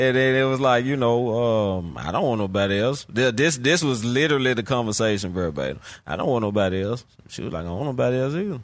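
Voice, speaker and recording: Very fast and with lively intonation, a man delivers his words. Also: medium pitch for a man. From Memphis, Tennessee (South Memphis / Orange Mound). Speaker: book discussion participant. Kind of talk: casual book discussion chat. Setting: live broadcast in an atrium studio.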